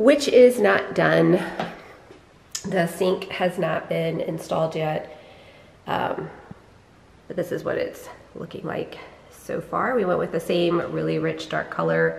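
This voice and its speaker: Speech comes at a very slow pace with long, frequent pauses, with audible echo in the room and light background noise. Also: woman. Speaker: homeowner vlogger. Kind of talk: casual vlog house tour. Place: empty room. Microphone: phone near.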